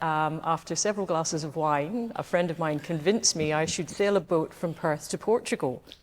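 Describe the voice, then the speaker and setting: In a very clean recording with a silent background, a woman with a strong Scottish accent talks at a moderate pace in a fairly low pitch, with ordinary pitch variation. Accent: broad Scottish. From Scotland, west coast. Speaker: yacht club past commodore. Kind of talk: interview. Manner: hesitant, many fillers.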